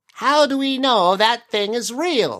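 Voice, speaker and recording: Fairly slow speech in a put-on character voice with a fairly high pitch. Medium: read story. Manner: ruminative, wordy.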